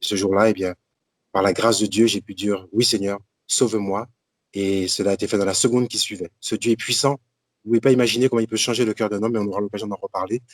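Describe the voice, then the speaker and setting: Talking at a very fast pace, a man keeps his intonation fairly even in a dry, close sound with no echo. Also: big swings in loudness. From Martinique. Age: 60s. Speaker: deacon and Bible teacher. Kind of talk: religious teaching talk.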